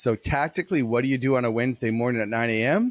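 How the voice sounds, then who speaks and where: Recorded very cleanly against a silent background, a man of medium pitch talks at a fairly quick pace in a dry, close sound with no echo. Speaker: keynote speaker and business author. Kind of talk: interview. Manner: fast; animated.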